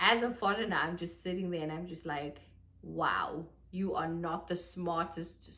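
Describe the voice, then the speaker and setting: The speaker is a woman with a South African accent. Room echo is audible. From South Africa, Johannesburg. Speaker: vlogger. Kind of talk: casual vlog monologue. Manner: chatty, animated.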